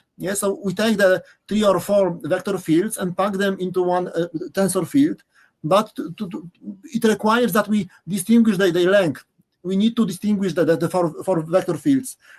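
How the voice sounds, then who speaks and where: A man with a Polish accent speaks at a high pitch. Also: ordinary pitch variation, moderate pace. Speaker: professor. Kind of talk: lecture. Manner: halting, many repetitions.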